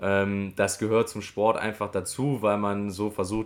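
A man speaks at a moderate pace with a fairly low pitch. He has a plain, everyday voice. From western Germany, near Düren (Rhineland). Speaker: goalball player, visually impaired athlete. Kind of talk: interview.

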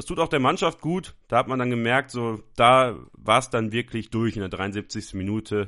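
An ordinary speaking voice from a man, medium in pitch and normal in its pitch movement. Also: quiet background. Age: 20s. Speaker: football podcast host. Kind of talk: solo football talk show.

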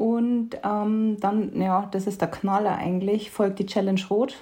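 A woman's somewhat breathy voice carries a dark, mellow tone at a medium pitch, with fairly even intonation. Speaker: podcast co-host. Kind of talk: casual chat.

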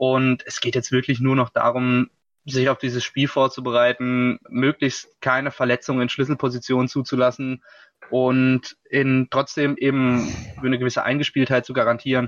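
A man's voice at a medium pitch, with monotone, flat intonation. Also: moderate pace. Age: 20s. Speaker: football writer and podcast co-host. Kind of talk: casual sports talk.

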